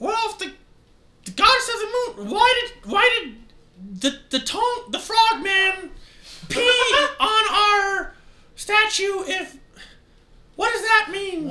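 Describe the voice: A put-on character voice pitched extremely high. It moves at a very slow pace with long, frequent pauses.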